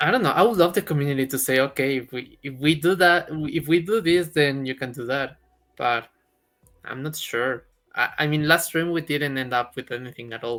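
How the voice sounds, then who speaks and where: The speaker has a Spanish accent and a moderate pace. Music plays in the background. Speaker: crypto streamer. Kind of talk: casual chat. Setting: live stream.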